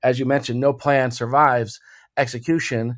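A plain, everyday voice with an American accent speaks at a fairly quick pace. The recording is very clean, with a silent background. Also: man. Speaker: retired air force colonel, company CEO. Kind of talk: interview.

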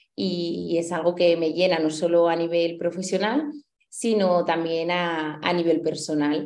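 There is audible room echo as a woman speaks fairly slowly with fairly even intonation. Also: fairly low pitch for a woman. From Spain, Huesca (Aragon). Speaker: dietitian-nutritionist and teacher. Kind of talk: interview.

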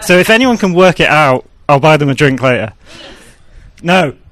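A man with an English accent, fairly high in pitch, lively in intonation, at a moderate pace. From southwest England, near Bristol. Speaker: game designer. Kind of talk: casual chat. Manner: hesitant, many fillers.

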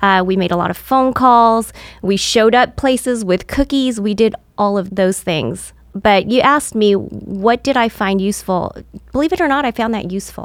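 A woman speaks with a plain, everyday voice at a fairly high pitch. Her pace is moderate, and her pitch variation is ordinary. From California. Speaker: insurance agent and business owner. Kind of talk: interview.

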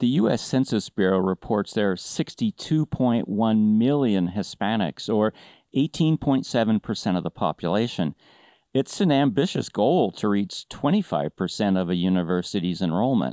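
A man speaks with lively intonation at a very even loudness, his fairly low voice dark and mellow. The sound is dry and close with no echo over a quiet background. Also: moderate pace. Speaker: podcast host and business academic. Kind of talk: interview.

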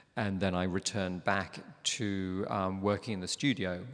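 There is a quiet background behind a man speaking at a moderate pace. His pitch is fairly low and his intonation fairly even. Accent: London. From London, England. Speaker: ballet master, former ballet dancer. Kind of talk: live interview before an audience. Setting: opera house stage with audience.

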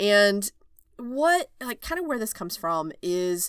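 The recording is very clean, with total silence behind the voice. A woman delivers her words fairly slowly. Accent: slight Southern US. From Oklahoma, rural. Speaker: OB/GYN physician and coach, podcast host. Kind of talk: solo podcast monologue. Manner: casual, laughing often.

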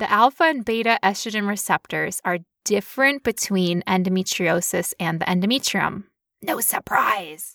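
Bright and sharp in tone, the animated voice moves at a moderate pace with lively intonation, recorded very cleanly against a silent background with a dry, close sound and no echo. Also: woman, medium pitch for a woman. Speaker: podcast host living with chronic illness. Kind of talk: casual explanatory chat about medical research.

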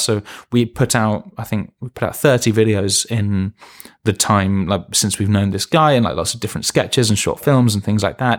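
In a London accent, a man with a fairly low pitch and ordinary pitch variation speaks at a moderate pace on a very clean recording with a silent background. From London, England. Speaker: TV animation head writer. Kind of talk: interview.

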